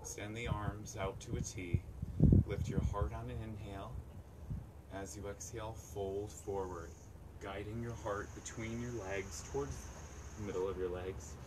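Against noticeable background noise, a man speaks at a fairly slow pace with long, frequent pauses. His pitch is fairly low and his intonation lively. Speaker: yoga instructor. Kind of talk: live-streamed outdoor yoga class cueing poses breath by breath. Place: waterside.

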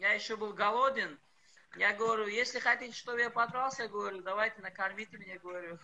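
Speaking in a raised, projected voice at a very fast pace, a man with a high pitch and a bright, sharp tone keeps a fairly even intonation. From Tajikistan, Panjakent. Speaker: karate fighter and MMA fighter. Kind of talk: interview. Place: home room. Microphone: video call.

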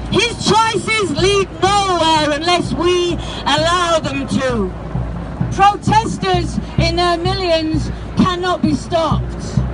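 Crowd noise fills the background. A woman speaks at a very slow pace. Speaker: spoken word poet. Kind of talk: protest poem performed at a rally. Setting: outdoors at a protest march. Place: street. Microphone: handheld.

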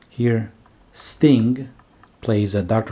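A man speaks with fairly even intonation while music plays in the background. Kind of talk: casual show-and-tell commentary. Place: home room.

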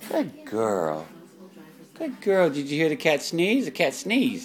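Faint music plays behind the speech. A woman talks very slowly. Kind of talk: parent talking to toddler. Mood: warm, playful, laughing. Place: home room. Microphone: phone near.

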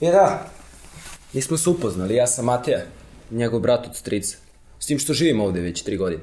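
This man talks at a very fast pace. His pitch swings very widely. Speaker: host character. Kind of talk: scripted drama dialogue. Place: home room.

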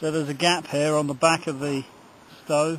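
A man talks at a moderate pace in a flat monotone, the sound dry with no echo over light background noise. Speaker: hiker demonstrating a stove. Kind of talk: tutorial. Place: forest. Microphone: phone near.

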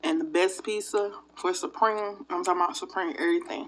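A woman's voice with very wide pitch swings, over light background noise. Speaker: food vlogger. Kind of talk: casual vlog chat. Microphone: phone near.

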